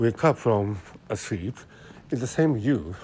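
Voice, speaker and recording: A man speaks with a Japanese accent at a very slow pace. His intonation is lively. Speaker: podcaster talking about brain science. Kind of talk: casual monologue. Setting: outdoors, walking in city. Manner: halting, many fillers.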